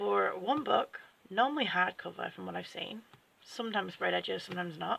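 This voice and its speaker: Speaking at a moderate pace, this voice carries an English accent. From England. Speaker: book vlogger. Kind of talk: unboxing video chat. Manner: casual, with fillers and restarts.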